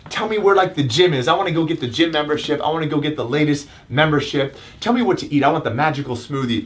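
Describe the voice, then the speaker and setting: A man's fairly high, animated voice at a very fast pace, with ordinary pitch variation, hardly any pauses and noticeable background noise. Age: 30s. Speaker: chiropractor and self-help video host. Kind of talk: motivational talk. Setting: live stream.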